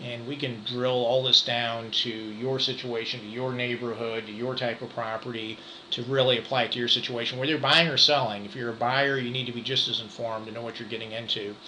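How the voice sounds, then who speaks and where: A man with an American accent at medium pitch, monotone and flat, at a fairly quick pace with hardly any pauses, amid noticeable background noise and audible room echo. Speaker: real estate broker. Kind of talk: market update presentation. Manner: fast; halting, many fillers.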